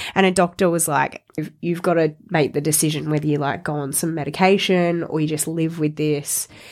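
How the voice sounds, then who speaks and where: Speaking with an Australian accent, a woman uses a very deep, low pitch and monotone, flat intonation. She goes at a fairly quick pace with hardly any pauses. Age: 20s. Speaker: fitness coach. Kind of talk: casual chat. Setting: studio.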